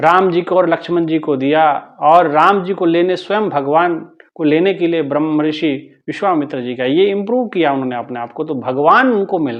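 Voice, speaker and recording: A man talks in a normal speaking voice at a moderate pace. His pitch is fairly high, with ordinary variation. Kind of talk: spiritual discourse (satsang).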